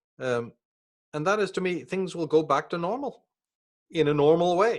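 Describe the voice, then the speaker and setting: A man speaks with a Northern Irish accent at a high pitch. His pace is moderate. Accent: Northern Irish (Belfast). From Northern Ireland, Belfast. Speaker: author and speaker on esoteric topics. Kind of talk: interview conversation.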